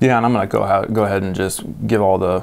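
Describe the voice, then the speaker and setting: A man with an American accent speaks at a fairly low pitch. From US Midwest. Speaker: seed company podcast host. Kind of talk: casual chat. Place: studio. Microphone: lapel.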